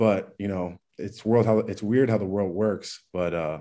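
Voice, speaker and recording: A man with an American accent speaks at a fairly slow pace in a fairly low pitch, his tone dark and mellow, his pitch varying in an ordinary way against a quiet background. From Maryland, US (DMV area). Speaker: college football player, NFL draft prospect. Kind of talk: interview.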